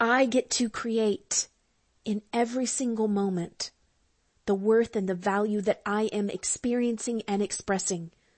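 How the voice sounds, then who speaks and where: A woman talks at a fairly slow pace in a warm tone. Her voice is somewhat breathy. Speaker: spiritual counselor and astrologer. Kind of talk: guided prayer journey, affirmative prayer; fervent prayer, spoken as a heartfelt invocation and thanks to the divine. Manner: fervent, devout, rising with feeling; warm, slow, intimate and sincere, with emphatic repetition.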